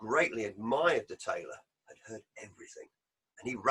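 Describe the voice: Plain reading aloud with lively intonation over a quiet background.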